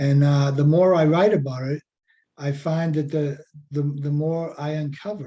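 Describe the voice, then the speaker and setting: A man with a Boston accent speaks at a moderate pace and fairly high pitch. His tone is dark and mellow, and his intonation fairly even. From Revere, Massachusetts (Boston area). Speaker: poet and writing workshop teacher. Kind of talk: workshop lecture. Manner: casual, many fillers.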